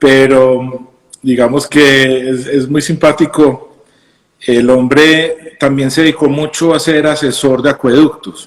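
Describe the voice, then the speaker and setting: Speaking at a very slow pace in a Colombian accent, a man keeps a fairly high pitch and monotone, flat intonation. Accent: normal Colombian. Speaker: craft brewer and physician. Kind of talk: casual interview chat. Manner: halting, many fillers and repetitions.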